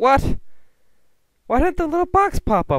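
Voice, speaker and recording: A man is shouting with lively intonation. The sound is dry with no echo, and the background is quiet. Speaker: gaming YouTuber. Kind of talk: gameplay commentary, angry rant. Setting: home recording, gameplay video. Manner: animated, loud, excitable, swearing; frustrated, shouting and cursing in short bursts. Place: home room. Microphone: headset.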